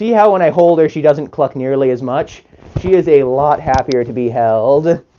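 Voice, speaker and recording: A man talks with lively intonation. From Canada. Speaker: chicken keeper streamer. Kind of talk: live stream chat. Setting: chicken coop.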